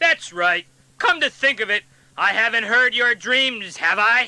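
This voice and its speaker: At a moderate pace, a man performs a cartoonish character voice pitched extremely high. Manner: stern, demanding.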